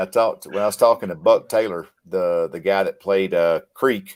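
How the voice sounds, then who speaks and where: A man speaks at a moderate pace with an American accent and lively intonation. The recording is very clean and the background silent. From US South, Mississippi. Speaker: military veteran and combat medic. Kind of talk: casual chat.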